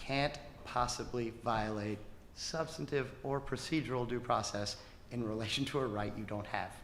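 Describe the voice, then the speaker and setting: Male speech in audible room echo, its pitch varying in an ordinary way. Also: medium pitch for a man. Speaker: government attorney. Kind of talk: closing argument in court. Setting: courtroom. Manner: fast.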